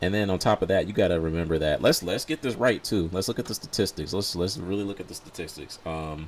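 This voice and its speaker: A man with an American accent talks at a very fast pace in a very deep, low, animated voice with hardly any pauses. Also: ordinary pitch variation. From US South. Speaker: gaming streamer. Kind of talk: casual live stream commentary.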